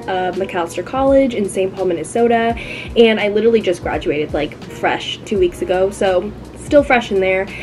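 Clear music plays in the background as a woman speaks at a moderate pace with ordinary pitch variation. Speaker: recent graduate vlogger. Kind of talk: casual vlog chat. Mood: upbeat and excited. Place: home room. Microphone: phone near.

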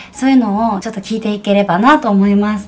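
A woman is heard over light background noise. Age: 30s. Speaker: actress. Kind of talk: casual talk to camera. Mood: warm, gentle, smiling. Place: home room. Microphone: phone near.

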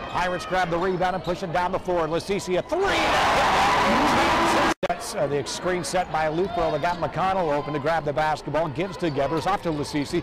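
Over loud background noise, a man with a high-pitched voice talks with hardly any pauses. His loudness stays very even, and the sound is dry with no echo. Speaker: play-by-play announcer. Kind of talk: sports commentary. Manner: rapid-fire, play-by-play; excitable, punchy. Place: stadium.

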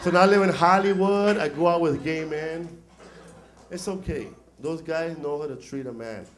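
There is light background noise behind a man. He speaks with ordinary pitch variation. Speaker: stand-up comedian. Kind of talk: stand-up comedy routine. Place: stage. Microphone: handheld.

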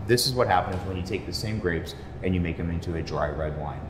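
There is audible room echo and light background noise as a man speaks with ordinary pitch variation. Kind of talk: casual conversation about wine. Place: bar.

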